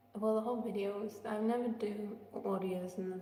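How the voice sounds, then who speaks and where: A woman speaks with an English accent at a medium pitch, in a monotone, flat way. Noticeable background noise and audible room echo are present. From England. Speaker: singer. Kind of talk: casual livestream chat. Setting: echoey room, livestream.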